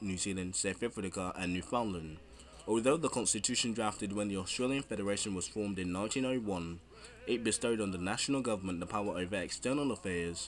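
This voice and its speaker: At a very fast pace, a man talks with a fairly low pitch and ordinary pitch variation. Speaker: history video narrator. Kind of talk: history documentary narration.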